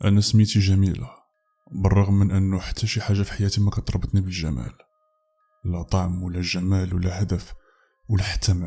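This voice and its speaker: A man speaks with a Moroccan accent in a very deep, low voice, dark and mellow in tone and somewhat breathy, at a moderate pace with fairly even intonation. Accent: Moroccan Arabic (Darija). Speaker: horror story narrator. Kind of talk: first-person story narration as a woman protagonist.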